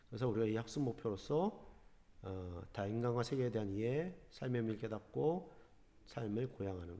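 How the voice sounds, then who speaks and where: In a room with audible echo, a man of medium pitch and dark, mellow tone speaks with lively intonation and big swings in loudness. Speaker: high school teacher. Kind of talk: online class lecture. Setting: recorded online lesson. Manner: fast.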